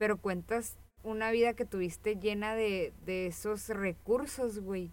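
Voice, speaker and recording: Speaking at a fairly slow pace, a woman with a Mexican accent keeps a fairly even intonation. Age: 20s. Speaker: podcast co-host. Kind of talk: casual chat.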